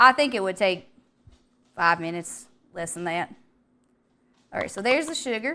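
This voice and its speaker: Here a woman speaks in a Southern US accent with a bright, sharp, animated tone. She keeps a moderate pace on a very clean recording with a silent background. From US South. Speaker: vtuber streamer. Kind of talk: casual livestream chat while cooking.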